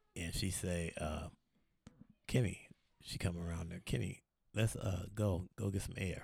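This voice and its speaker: A man speaks with a very deep, low pitch and vocal fry. His pace is fairly slow, with long, frequent pauses. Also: ordinary pitch variation. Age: 50s. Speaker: truck driver, former gang member. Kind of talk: casual interview chat.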